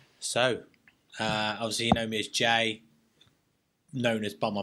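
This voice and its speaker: With a London accent, this man has a fairly low pitch, a bright, sharp tone, a moderate pace, and monotone, flat intonation. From North London, England. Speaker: serving soldier. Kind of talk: casual interview chat. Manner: halting, repeats words.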